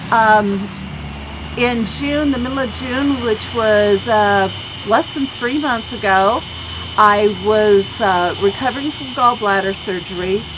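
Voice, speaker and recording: A woman's fairly high voice at a very slow pace, with ordinary pitch variation, audible room echo and noticeable background noise. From US Midwest, southern Illinois. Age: 60s. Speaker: patient giving testimonial. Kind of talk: testimony.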